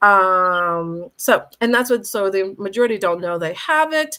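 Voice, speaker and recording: With an American accent, a woman speaks with lively intonation. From US Northeast, Boston. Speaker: functional medicine doctor. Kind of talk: health presentation with slides. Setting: live online stream. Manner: fast.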